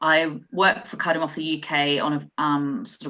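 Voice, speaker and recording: A woman with an Australian accent, very deep and low in pitch, bright and sharp in tone, over a quiet background. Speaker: nurse. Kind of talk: conference talk.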